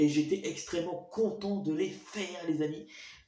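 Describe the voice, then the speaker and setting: A man with a high voice speaks with ordinary pitch variation. Noticeable background noise and audible room echo can be heard. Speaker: YouTuber, show host. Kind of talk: casual monologue to viewers. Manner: fast; stuttering, halting.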